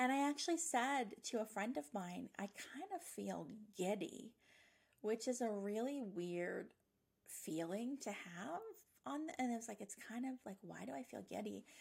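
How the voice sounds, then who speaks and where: A woman with a fairly high, somewhat breathy voice talks at a moderate pace in an energetic tone, her pitch swinging very widely. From Nova Scotia. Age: 40s. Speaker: podcast host and psychic medium. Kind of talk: casual monologue.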